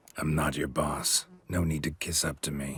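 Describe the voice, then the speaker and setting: In a put-on character voice, a man speaks with a raspy, very deep, low pitch, a deadpan tone, monotone, flat intonation and a moderate pace. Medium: video game. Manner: terse, laconic, deadpan.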